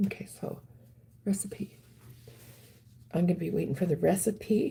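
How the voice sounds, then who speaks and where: Vocal fry runs through a woman's speech, which has ordinary pitch variation. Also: medium pitch for a woman, moderate pace. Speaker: wellness livestreamer. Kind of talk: live stream chat reading viewer comments. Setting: live stream. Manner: halting, many ums.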